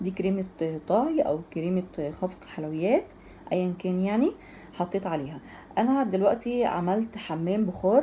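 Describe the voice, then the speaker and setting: The voice is somewhat breathy. Light background noise can be heard. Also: woman. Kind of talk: tutorial. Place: kitchen. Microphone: phone near.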